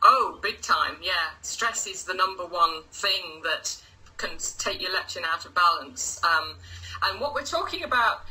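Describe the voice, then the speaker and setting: A woman with an English accent at a fairly slow pace, big swings in loudness, and noticeable background noise. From England, Lincoln. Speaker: results coach. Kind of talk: casual interview. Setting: live video stream.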